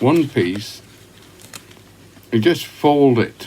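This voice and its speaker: In a Yorkshire accent, a man speaks very slowly at a medium pitch. His pitch swings very widely over noticeable background noise. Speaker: pipe smoker. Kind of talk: casual talk to camera. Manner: relaxed, conversational.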